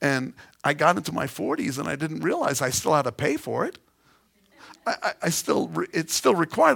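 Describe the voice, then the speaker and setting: Speaking at a fairly quick pace with lively intonation, a man talks in a New York accent. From New York City (Queens). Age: 50s. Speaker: pastor. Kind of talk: sermon.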